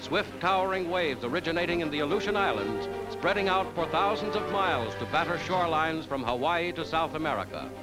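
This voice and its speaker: A man talks at a very fast pace with hardly any pauses. Clear music plays in the background. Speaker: newsreel narrator. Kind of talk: 1940s newsreel narration. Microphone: old recording.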